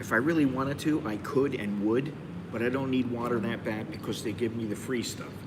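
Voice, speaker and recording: Talking at a fairly quick pace, a man uses a medium pitch with ordinary pitch variation. Room echo is audible, along with noticeable background noise. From United States. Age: 60s. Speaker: expat vlogger. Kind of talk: live stream monologue. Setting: cafe. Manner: casual, rambling with fillers.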